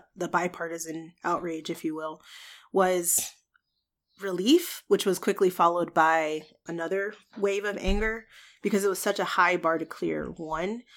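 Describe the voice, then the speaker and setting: Over a silent background in a very clean recording, a woman speaks at a fairly slow pace and a fairly low pitch. Hers is an unremarkable speaking voice, with fairly even intonation. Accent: American. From US, Georgia. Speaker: podcast guest. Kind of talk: casual discussion.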